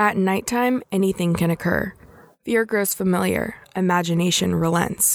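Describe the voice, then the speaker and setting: A woman's medium-pitched, ordinary speaking voice at a moderate pace with ordinary pitch variation. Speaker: podcast host and poetry reader. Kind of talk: scripted intro and poetry reading.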